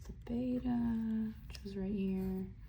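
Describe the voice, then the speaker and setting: Someone whispers in a soft-spoken way at a very slow pace over noticeable background noise. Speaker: college student studying investments. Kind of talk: casual ASMR study-with-me talk to camera. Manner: soft-spoken, whispery.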